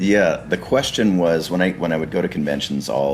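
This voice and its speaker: Over music in the background, a man talks at a moderate pace in a very deep, low pitch with lively intonation. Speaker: voice actor. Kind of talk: interview.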